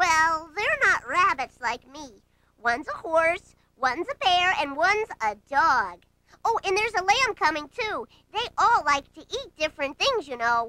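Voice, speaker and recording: A put-on character voice, extremely high in pitch, at a moderate pace. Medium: read story. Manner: earnest, eager to please.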